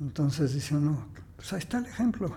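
A man speaks in a somewhat breathy, dark, mellow tone. His pitch is fairly high, and the room echo is audible. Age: 80s+. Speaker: architect and housing expert. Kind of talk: interview conversation. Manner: halting, many repetitions.

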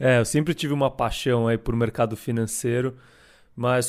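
The recording is very clean, with a silent background. A man speaks at medium pitch and a moderate pace. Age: 20s. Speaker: co-host, fund manager. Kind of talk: casual chat.

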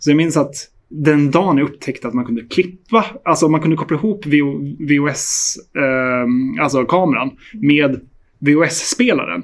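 A plain, everyday voice, a man's fairly high-pitched speech moves at a fairly slow pace with lively intonation. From Sweden, Hälsingland. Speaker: film director. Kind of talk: interview.

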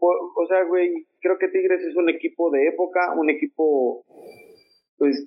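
Taking long, frequent pauses, a man talks at a fairly slow pace with very even loudness. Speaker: football panelist. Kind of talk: casual chat.

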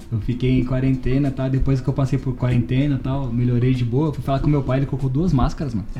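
A man's very fast, medium-pitched speech in a flat monotone. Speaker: podcast host. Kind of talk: casual chat.

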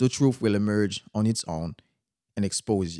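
The sound is dry and close, with no echo, on a very clean recording with a silent background. A man speaks at a fairly low pitch with a dark, mellow tone. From Haiti. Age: young. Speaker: podcast host. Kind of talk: motivational monologue.

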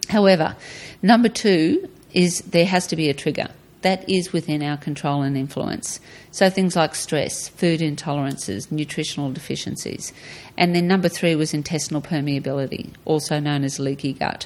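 On a very clean recording with a silent background, a woman with an Australian accent speaks at a moderate pace in a very deep, low voice. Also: ordinary pitch variation. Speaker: retired guest, mother of host. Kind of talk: casual interview chat.

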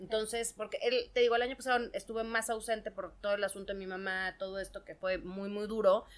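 A woman talks fairly quickly at a fairly high pitch, with fairly even intonation. It is a plain, everyday voice, with big swings in loudness. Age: 40s. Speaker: stand-up comedian. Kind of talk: casual chat. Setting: studio.

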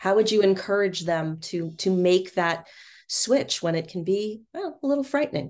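Against a quiet background, a woman with an unremarkable speaking voice talks at a moderate pace and a medium pitch, with lively intonation. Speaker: podcast host. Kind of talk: casual interview chat.

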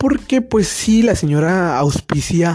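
The man's tone is dark and mellow, with lively intonation. He speaks at a very slow pace. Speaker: student podcaster. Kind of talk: casual chat. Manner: halting.

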